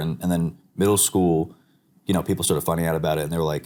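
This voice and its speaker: A man talks at a very fast pace with an American accent. His pitch is very deep and low. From New York, Long Island. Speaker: digital artist. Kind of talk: casual chat. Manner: animated.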